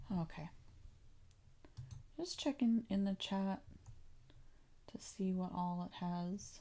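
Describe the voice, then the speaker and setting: A woman speaks at a very slow pace in a somewhat breathy, calm voice of medium pitch, with long, frequent pauses. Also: ordinary pitch variation. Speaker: English teacher. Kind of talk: pronunciation livestream tutorial. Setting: livestream.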